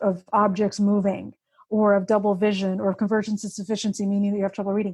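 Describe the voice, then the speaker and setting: A woman speaks at a medium pitch and a fairly quick pace, her tone dark and mellow. The voice is somewhat breathy, and the recording is very clean with a silent background. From born in Russia, grew up in the US. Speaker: author and vision therapy patient advocate. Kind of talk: interview.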